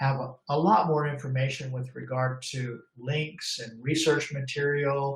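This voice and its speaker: A man with a fairly high pitch sounds somewhat breathy, speaking at a fairly slow pace with fairly even intonation. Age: 60s. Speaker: law enforcement trainer. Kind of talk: webinar presentation. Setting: online webinar. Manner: halting, with fillers.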